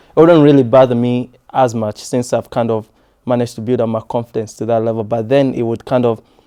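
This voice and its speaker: A man races along at a very fast pace in a flat monotone, his tone dark and mellow. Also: medium pitch for a man. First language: not English. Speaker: podcast co-host. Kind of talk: casual chat. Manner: halting.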